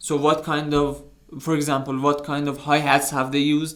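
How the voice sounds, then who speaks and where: A man with a fairly high pitch and a non-native accent, at a moderate pace, with audible room echo. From outside US, UK and Canada. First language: not English. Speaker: music producer, YouTuber. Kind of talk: tutorial. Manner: halting.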